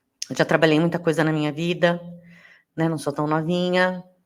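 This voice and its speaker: On a very clean recording with a silent background, a woman speaks in a fairly low, monotone and flat voice. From Brazil, interior of São Paulo state (Rio Claro). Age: 30s. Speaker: podcast host. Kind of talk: podcast monologue, casual.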